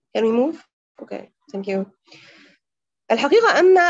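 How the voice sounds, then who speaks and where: The recording of this woman is dry, with no echo. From Egypt. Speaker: gender researcher; presenter. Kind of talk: presentation. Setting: video call. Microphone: video call.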